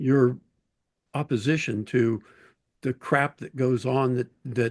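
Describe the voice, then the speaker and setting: A man with an American accent at medium pitch and a very slow pace, in a dry, close sound with no echo. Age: 70s. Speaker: war veteran and antiwar activist. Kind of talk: panel discussion.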